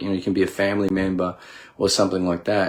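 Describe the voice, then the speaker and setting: This man's voice is very deep and low in pitch. Nothing can be heard behind him in the very clean recording, with a silent background. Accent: Australian. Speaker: leadership coach, military veteran. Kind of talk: casual monologue on mental health. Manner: hesitant, many fillers.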